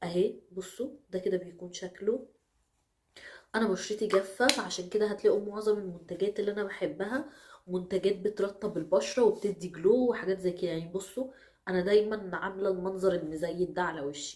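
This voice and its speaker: A woman with an Egyptian accent, medium in pitch with ordinary variation, at a moderate pace. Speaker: beauty vlogger. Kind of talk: product review.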